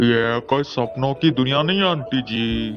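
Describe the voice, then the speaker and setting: Clear music plays in the background. Over it, a man at medium pitch uses a put-on character voice at a moderate pace. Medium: fan dub.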